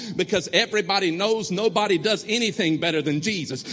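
A man talks at a very fast pace in a raised, projected voice. His tone is animated and his intonation lively. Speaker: pastor. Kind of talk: sermon, call-and-response with a live congregation. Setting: church with congregation. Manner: animated, exhorting, rallying the crowd with repeated commands; rhythmic, repetitive, building to emphatic refrains.

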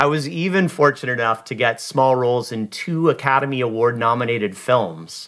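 A man talks with a West Coast American accent at a moderate pace. His pitch varies in an ordinary way. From US Pacific Northwest (Seattle). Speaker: podcast host. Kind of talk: scripted monologue.

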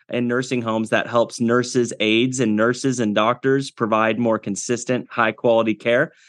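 A man with a Midwestern American accent speaks at a moderate pace and medium pitch. His intonation is flat and monotone, against a quiet background. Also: dry, close sound with no echo. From US Midwest, Iowa. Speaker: agtech entrepreneur. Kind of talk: interview. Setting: studio.

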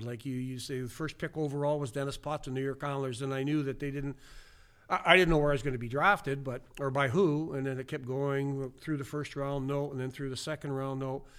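A man with a Canadian Prairie accent, fairly high pitch, fairly even intonation, and a fairly quick pace, on a very clean recording with a silent background. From Saskatchewan, western Canada. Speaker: retired hockey player and coach. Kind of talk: casual interview, storytelling.

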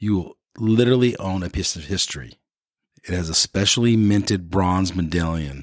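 A man talks at a fairly slow pace with lively intonation, in a dry, close sound with no echo. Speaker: podcast host. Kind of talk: casual interview.

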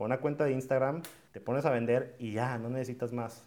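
A man's plain, everyday voice at a medium pitch, fairly quick in pace, with fairly even intonation. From Mexico, Monterrey. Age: 20s. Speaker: entrepreneur and podcast host. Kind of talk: talk to students. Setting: video call.

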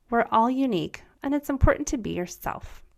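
A woman speaks at a fairly quick pace. Her tone is upbeat and her intonation lively. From US. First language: German. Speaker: podcast host, former teacher. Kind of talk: scripted narration.

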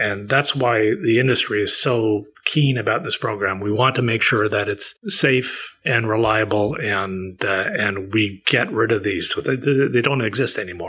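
A man with a Canadian accent, an ordinary speaking voice, fairly low pitch and ordinary pitch variation, at a fairly slow pace with hardly any pauses. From Maritime Canada (Prince Edward Island). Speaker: recycling organization executive. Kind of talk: interview.

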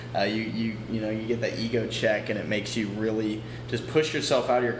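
Delivering his words in a flat monotone at medium pitch, a man talks at a fairly quick pace with hardly any pauses, amid audible room echo and noticeable background noise. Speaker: podcast host. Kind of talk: casual chat. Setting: apartment by a window. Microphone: echo in the room.

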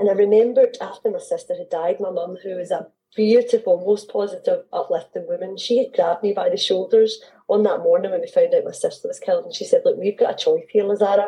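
A woman talks with a Scottish accent. Her pace is very fast. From Scotland. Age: 40s. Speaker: mindset coach and author. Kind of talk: interview.

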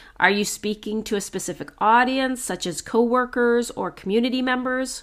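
A loud, energetic woman's voice with a fairly high pitch, at a moderate pace, in a very clean recording with a silent background. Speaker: strengths coach and podcast host. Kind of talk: solo podcast tips monologue.

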